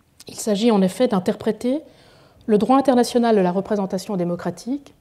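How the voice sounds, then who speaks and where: A woman talks fairly quickly in a fairly high voice with a dark, mellow tone. Her loudness swings widely. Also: ordinary pitch variation. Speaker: law professor. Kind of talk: lecture. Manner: formal.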